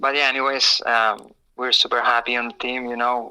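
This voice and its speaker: Speaking at a moderate pace, a man with a Spanish accent has a medium pitch and a bright, sharp tone. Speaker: pro motocross racer. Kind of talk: interview. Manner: halting.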